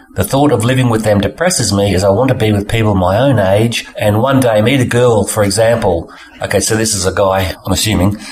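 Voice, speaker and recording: A man with an Australian accent, fairly low pitch, fairly even intonation and moderate pace, over noticeable background noise. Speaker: podcast host. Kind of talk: reading a listener letter aloud.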